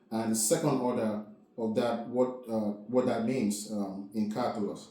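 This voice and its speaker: Male speech with ordinary pitch variation at a moderate pace, plus noticeable background noise and audible room echo. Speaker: math teacher. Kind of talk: lecture. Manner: filler-heavy, repetitive.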